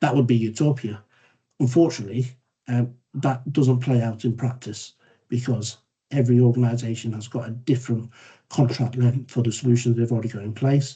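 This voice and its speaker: In a dark, mellow tone, a man speaks fairly quickly at a medium pitch, somewhat breathy, with monotone, flat intonation. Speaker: council data manager presenting. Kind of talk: presentation in online meeting. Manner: fast.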